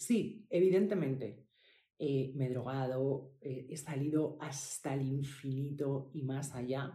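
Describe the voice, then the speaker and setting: A woman with a very deep, low pitch and a dark, mellow, somewhat breathy tone speaks at a very slow pace with ordinary pitch variation and audible room echo. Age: 40s. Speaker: podcast host, healing coach for women. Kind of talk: personal testimony. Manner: halting, with fillers and repetitions.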